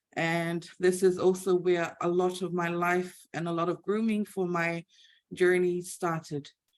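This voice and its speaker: A woman's fairly low, flat monotone in a Samoan accent, at a fairly slow pace. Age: 30s. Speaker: IT team leader and church youth leader. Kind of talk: presentation. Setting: video call. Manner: halting.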